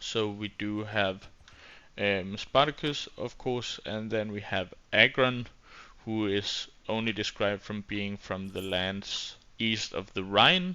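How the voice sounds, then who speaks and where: With a Danish accent, a man speaks at a very slow pace in a fairly low pitch, keeping his intonation fairly even. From Denmark. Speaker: gaming YouTuber. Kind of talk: gameplay commentary. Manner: hesitant, many fillers.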